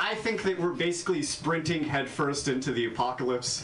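A man's pitch swings very widely while noticeable noise sounds in the background. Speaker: stand-up comedian. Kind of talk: stand-up set. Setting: stage with audience (replayed video).

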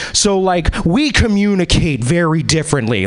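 An American accent comes through with very wide pitch swings at a moderate pace. Noticeable background noise sits behind it. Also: man. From US Pacific Northwest. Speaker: comedian. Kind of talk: stand-up. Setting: stage with audience.

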